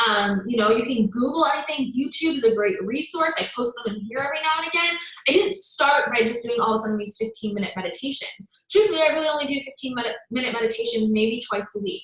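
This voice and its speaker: Amid noticeable background noise and audible room echo, a woman with a high pitch talks at a very fast pace with lively intonation. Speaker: self-love coach. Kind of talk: live stream talk. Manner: animated.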